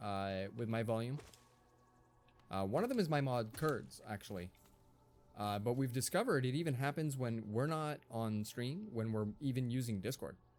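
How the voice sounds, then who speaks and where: A man's medium-pitched voice at a moderate pace, with ordinary pitch variation and music in the background. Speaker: live streamer. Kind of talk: live gameplay commentary. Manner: loud. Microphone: stream volume too quiet for some.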